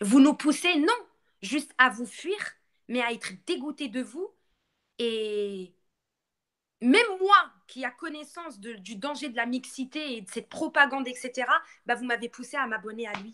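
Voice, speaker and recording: A woman with a Moroccan accent and a high pitch, her raised, projected voice bright and sharp, animated in tone with lively intonation, at a fairly slow pace with long, frequent pauses. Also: big swings in loudness. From Morocco. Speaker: live streamer. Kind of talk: live stream rant.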